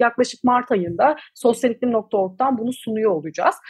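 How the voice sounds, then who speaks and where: Her voice high for a woman, she speaks at a moderate pace. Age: 20s. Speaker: climate activist, NGO founder. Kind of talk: interview. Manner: hesitant fillers.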